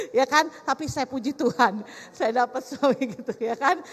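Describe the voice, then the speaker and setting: A woman speaks in a raised, projected voice with a Jakarta accent. Her pace is fairly slow. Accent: Jakarta Betawi. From Jakarta, Indonesia (Betawi). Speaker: preacher. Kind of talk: sermon. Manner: forceful, blunt delivery; animated.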